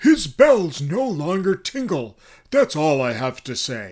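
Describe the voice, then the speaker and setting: Using a put-on character voice, a man speaks at a fairly slow pace with very wide pitch swings in a very clean recording with a silent background. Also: fairly high pitch for a man. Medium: read story. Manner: angry.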